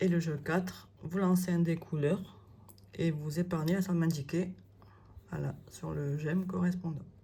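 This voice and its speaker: Her fairly low pitch and dark, mellow tone come through somewhat breathy, as the woman speaks at a fairly slow pace with fairly even intonation. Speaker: budget planner content creator. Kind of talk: product presentation. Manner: hesitant, many fillers.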